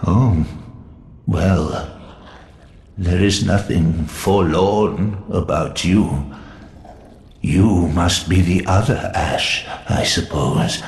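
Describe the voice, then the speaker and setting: A man speaks in a put-on character voice, very deep and low, at a very slow pace with long, frequent pauses. There is a slight echo and clear background noise. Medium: solo performance. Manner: breathless, imploring.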